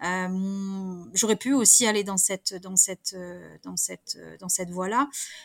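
In a very clean recording with a silent background, a woman speaks at a medium pitch and a fairly slow pace. It is a plain, everyday voice with fairly even intonation. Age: 40s. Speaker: management coach, former insurance branch manager. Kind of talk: interview.

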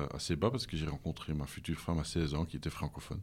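The speaker is male. The voice sits very deep and low. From Flanders, Belgium (Leuven). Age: 50s. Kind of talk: interview. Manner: halting.

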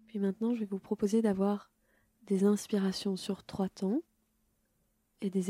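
A woman speaks very slowly at a medium pitch, monotone and flat, somewhat breathy, with a dark, mellow, gentle, calm tone. The sound is dry and close, with no echo. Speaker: yoga nidra teacher. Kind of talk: guided meditation. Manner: slow, calm, soothing, unhurried; gentle, measured, with long pauses.

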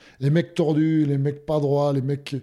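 His tone is dark and mellow. This man's voice sits at a fairly high pitch. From Hautes-Pyrénées, southwest France. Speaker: former rugby player, insurance broker. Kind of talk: interview. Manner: halting, many fillers and repetitions.

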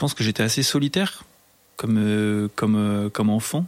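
Very slow male speech with ordinary pitch variation. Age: 30s. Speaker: technical supervisor. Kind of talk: casual interview. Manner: halting, many fillers and repetitions.

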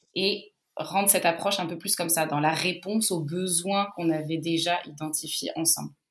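Her voice is fairly low in pitch and moves at a moderate pace. The intonation stays monotone and flat. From Portugal and Brazil, raised abroad. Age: 30s. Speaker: customer success manager. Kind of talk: interview.

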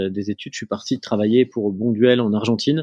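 The man's pitch is in the medium range, and his intonation stays fairly even. His voice sounds dry and close, without any echo. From northern France, near Lille. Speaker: family business executive and entrepreneur. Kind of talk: interview. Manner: hesitant, many fillers and repetitions.

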